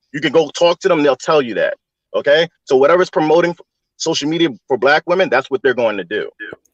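Very fast and fairly high-pitched, a man talks with ordinary pitch variation in a dry, close sound with no echo. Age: 30s. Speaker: livestream call-in guest. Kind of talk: heated debate.

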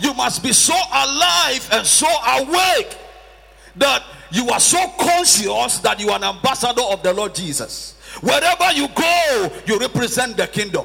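The voice is raised and projected, swinging very widely in pitch. Background noise is noticeable. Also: man. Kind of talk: sermon. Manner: animated, call-and-response preaching, with prompts to the congregation; emphatic and repetitive, with rhetorical questions.

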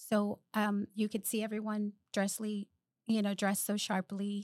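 With a Spanish accent, a woman speaks at a fairly slow pace and a medium pitch. The sound is dry and close, with no echo. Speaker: project manager. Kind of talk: casual chat.

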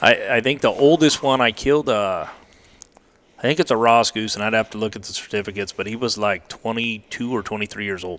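In an ordinary speaking voice, a man talks fairly quickly at medium pitch with ordinary pitch variation. His loudness swings widely. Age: 40s. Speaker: waterfowl hunting guide. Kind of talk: casual chat.

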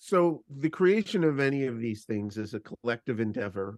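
Speaking at a moderate pace with a Canadian accent, a man has a plain, everyday voice. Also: dry, close sound with no echo. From Canada. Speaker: podcast co-host. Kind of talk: casual chat.

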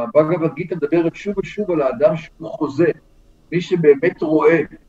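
A man's high voice at a moderate pace, fairly even in intonation, with music in the background. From Israel. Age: 60s. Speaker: professor. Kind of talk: interview.

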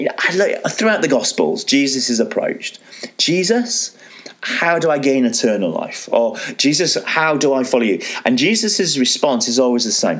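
Noticeable background noise sits behind a man with a fairly high voice. He talks at a moderate pace with very wide pitch swings. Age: 40s. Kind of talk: solo religious teaching talk. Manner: casual, conversational with frequent fillers.

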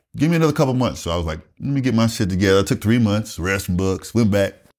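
Very fast in pace, a man is talking. He uses lively intonation. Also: very clean recording, silent background. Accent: Southern US. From US South, rural South Carolina. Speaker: retired Air Force master sergeant. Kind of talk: casual interview storytelling.

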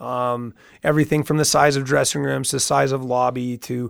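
Speaking at medium pitch in a monotone, flat intonation, a man moves at a fairly slow pace in a very clean recording with a silent background. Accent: Canadian Prairie. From Saskatchewan, Canada. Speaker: mayoral candidate and business owner. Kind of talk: radio interview. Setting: radio studio.

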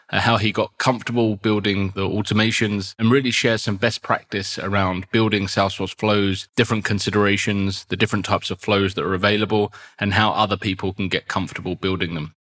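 Talking at a fairly quick pace, a man with a fairly low voice and a fairly bright tone keeps his pitch moving very little.

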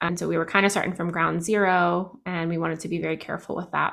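A woman speaks in an ordinary speaking voice with an American accent. Her pitch is fairly low and her intonation fairly even. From New Jersey. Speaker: clinical social worker and therapist. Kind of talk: interview testimony.

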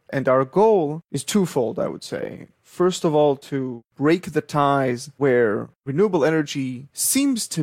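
At a fairly slow pace, a man talks in a fairly high pitch with ordinary pitch variation, the sound dry and close with no echo. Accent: Israeli. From Israel. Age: 30s. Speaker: startup founder, electrical engineer. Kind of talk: interview.

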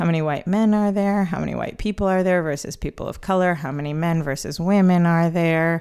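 A woman with a fairly low pitch and fairly even intonation speaks in a plain, everyday voice on a very clean recording with a silent background. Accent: American. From US Midwest, Chicago. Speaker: comedian. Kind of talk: casual interview. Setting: home, at a kitchen table.

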